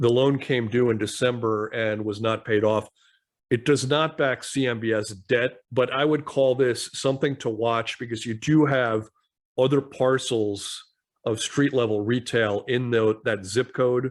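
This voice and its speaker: Against a quiet background, a man with an unremarkable speaking voice and medium pitch talks at a fairly slow pace with fairly even intonation. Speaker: commercial real estate podcast co-host. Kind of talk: podcast news roundup discussion.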